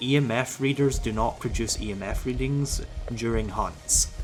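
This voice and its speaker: A man talks at a fairly slow pace while music plays in the background. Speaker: gaming youtuber. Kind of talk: tutorial. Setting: voiceover over gameplay footage. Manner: stuttering, halting.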